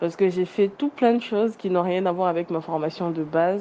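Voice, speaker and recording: Medium pitch and fairly even intonation in a woman's voice. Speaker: communications professional. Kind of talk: group discussion.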